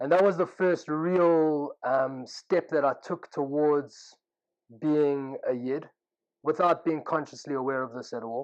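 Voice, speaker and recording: Over a quiet background, a man with a South African accent speaks at a fairly slow pace, his fairly high pitch held in fairly even intonation. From South Africa (Pretoria, Johannesburg). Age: 30s. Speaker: yeshiva student telling his life story. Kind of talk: personal testimony. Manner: casual, with frequent fillers.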